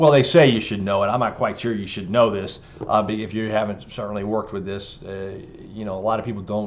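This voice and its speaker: A man's fairly low voice with fairly even intonation, a very fast pace, big swings in loudness and audible room echo. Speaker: exam prep instructor. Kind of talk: lecture. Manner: hesitant, many fillers.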